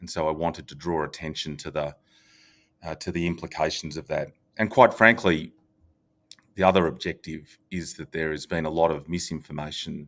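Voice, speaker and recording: On a very clean, silent recording, a man with a very deep, low pitch speaks at a moderate pace with fairly even intonation, big swings in loudness and long, frequent pauses. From Australia. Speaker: real estate company executive. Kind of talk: podcast interview.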